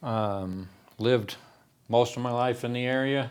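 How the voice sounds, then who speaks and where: A man speaks in an American accent at a medium pitch. His intonation stays fairly even. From Texas and Oklahoma, then Colorado. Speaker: construction subcontractor. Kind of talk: interview.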